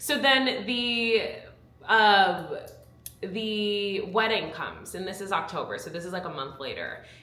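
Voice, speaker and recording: Lively intonation and big swings in loudness mark this voice, heard with audible room echo and noticeable background noise. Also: woman, medium pitch for a woman. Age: 20s. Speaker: YouTuber and former reality TV contestant. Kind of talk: casual chat. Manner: fast.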